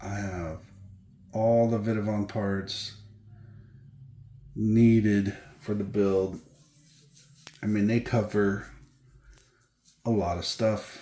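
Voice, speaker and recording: Soft-spoken and very slow, a man with a dark, mellow tone and a fairly low pitch talks in a flat monotone with long, frequent pauses. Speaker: RC car hobby youtuber. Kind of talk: unboxing video. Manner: casual. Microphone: too quiet, hard to hear.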